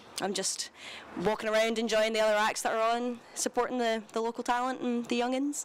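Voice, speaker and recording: Speaking at a fairly quick pace in a Glaswegian accent, a woman uses a fairly high pitch. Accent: Glaswegian Scottish. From Scotland, Glasgow. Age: 20s. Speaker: singer-songwriter. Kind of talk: interview. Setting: live broadcast from a cinema at a festival.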